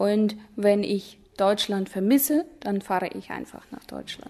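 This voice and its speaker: A woman with a dark, mellow tone talks at a fairly slow pace, at a medium pitch with ordinary pitch variation. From Kazakhstan, Ust-Kamenogorsk. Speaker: German teacher. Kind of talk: interview.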